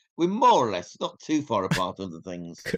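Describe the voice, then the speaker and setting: Against a quiet background, a man with a Yorkshire accent talks in a fairly high voice. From northern England, Yorkshire. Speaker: independent researcher. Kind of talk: podcast interview.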